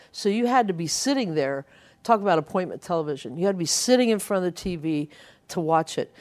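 On a very clean recording with a silent background, a woman speaks with an American accent. Her tone is dark and mellow, her intonation lively. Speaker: radio DJ. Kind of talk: casual interview, storytelling. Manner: animated.

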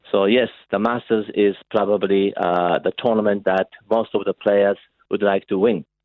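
The speaker has a Japanese accent and talks at a moderate pace, with monotone, flat intonation and very even loudness. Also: man, fairly low pitch for a man. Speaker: golf association chief executive. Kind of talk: radio interview.

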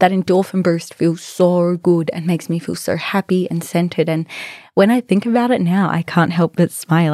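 A woman with an Australian accent speaks at a fairly quick pace in a dark, mellow tone, her pitch fairly low and her intonation fairly even, on a very clean recording with a silent background and a dry, close sound with no echo. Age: 20s. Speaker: podcast host. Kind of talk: casual monologue.

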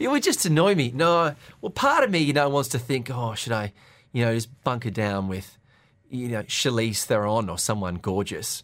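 An ordinary speaking voice moves at a moderate pace on a very clean recording with a silent background. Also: man, medium pitch for a man. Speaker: radio breakfast show co-host. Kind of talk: casual chat. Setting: radio studio.

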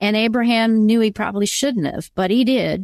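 Heard in a dry, close sound with no echo, a woman uses a normal speaking voice. Her pitch is medium, with ordinary variation. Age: 50s. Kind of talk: faith interview.

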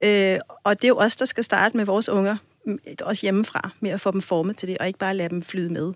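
On a very clean recording with a silent background, a woman talks at a very fast pace with medium pitch. Her intonation is monotone and flat, and the sound is dry and close with no echo. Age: 40s. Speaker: sex educator. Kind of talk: casual chat.

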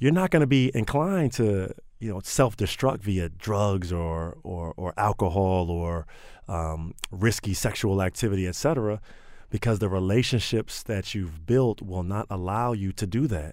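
Spoken at a moderate pace in a plain, everyday voice with an American accent. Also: man, fairly low pitch for a man, ordinary pitch variation, very clean recording, silent background. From Maryland, Prince George's County. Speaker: nonprofit director. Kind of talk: radio interview.

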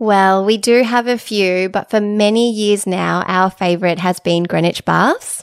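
A woman's medium-pitched voice with an Australian accent, fairly slow and fairly even, with hardly any pauses. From Sydney, Sutherland Shire. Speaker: podcast host. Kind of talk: casual chat.

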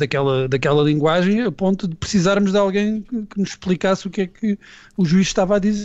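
This is a man talking. The pitch of his voice is high. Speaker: writer and commentator. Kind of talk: panel discussion.

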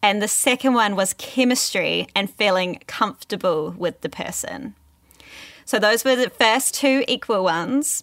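Here a woman has a fairly high pitch and a normal speaking voice. She talks at a fairly slow pace with ordinary pitch variation. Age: 30s. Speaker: sex educator and podcast host. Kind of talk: casual chat.

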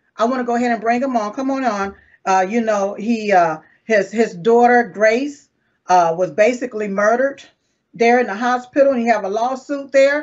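Her pitch is fairly high, and she speaks with a Southern accent. This woman shows ordinary pitch variation. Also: moderate pace. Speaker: online show host. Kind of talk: casual interview.

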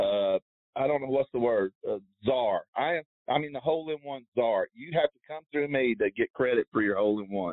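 At a moderate pace, a man uses an ordinary speaking voice of medium pitch with ordinary pitch variation and big swings in loudness. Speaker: tour caddie. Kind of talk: casual interview. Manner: rambling, informal.

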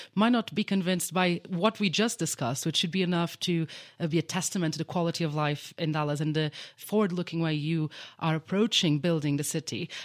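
In a very clean recording with a silent background and a dry, close sound with no echo, a woman speaks in an ordinary speaking voice at a fairly quick pace, her fairly low pitch showing ordinary pitch variation. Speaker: reporter. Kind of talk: news reporting and interviewing. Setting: conference venue in Davos.

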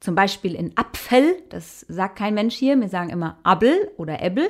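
A woman with a Hessian accent speaks with lively intonation. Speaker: musician. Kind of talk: interview.

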